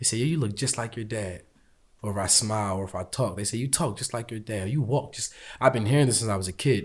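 In a very clean recording with a silent background, a man talks very fast at a medium pitch, somewhat breathy. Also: ordinary pitch variation. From US. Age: 20s. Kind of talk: interview conversation.

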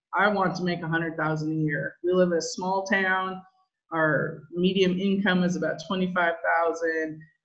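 Audible room echo surrounds a woman speaking at a very slow pace with fairly even intonation. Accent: American. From Southern California. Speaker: insurance agency owner. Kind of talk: interview.

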